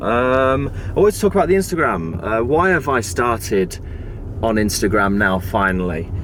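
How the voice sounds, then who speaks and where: Speaking with a British accent at a moderate pace and medium pitch, a man swings his pitch very widely while keeping his loudness very even, with noticeable background noise. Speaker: tech vlogger. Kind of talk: casual vlog talk. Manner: halting, stammering.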